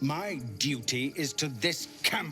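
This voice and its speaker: A man puts on a character voice at a fairly high pitch. Clear music plays in the background. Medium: game stream. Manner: stern, authoritative.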